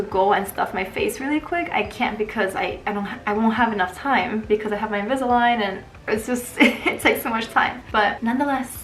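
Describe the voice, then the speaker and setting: Words come at a very fast pace with ordinary pitch variation, with audible room echo and noticeable background noise. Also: woman. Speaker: nurse and video creator. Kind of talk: casual chat.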